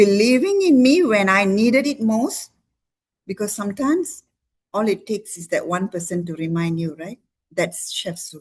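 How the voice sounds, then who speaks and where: Somewhat breathy, a woman speaks at a moderate pace with lively intonation and big swings in loudness. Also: medium pitch for a woman. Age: 60s. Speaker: doctor giving a product testimony. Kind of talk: testimony. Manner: animated.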